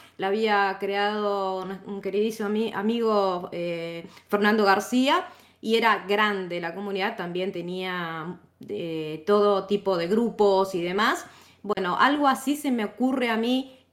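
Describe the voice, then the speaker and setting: This woman speaks with an Argentine accent at a fairly slow pace, using a medium pitch, ordinary pitch variation and a cheerful tone. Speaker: tech instructor and community moderator. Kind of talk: casual chat. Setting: online audio room. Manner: cheerful, laughs often.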